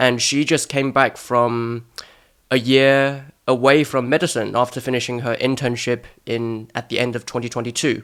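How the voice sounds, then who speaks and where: Moderately paced, medium-pitched speech from a man with a British accent and monotone, flat intonation. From Hong Kong. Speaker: podcast host, medical student. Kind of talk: casual interview.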